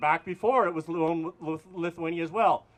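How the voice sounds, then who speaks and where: Speaking at a fairly slow pace with an Albertan accent, a man uses ordinary pitch variation. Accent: Canadian (Alberta). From Alberta, Canada. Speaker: priest. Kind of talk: protest rally speech. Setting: outdoor protest with crowd. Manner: calm, not yelling.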